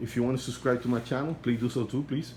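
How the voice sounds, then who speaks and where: Speaking in a non-native accent, a man keeps his intonation fairly even. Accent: non-native accent, kept since youth. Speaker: aquarium hobbyist vlogger. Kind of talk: casual video update.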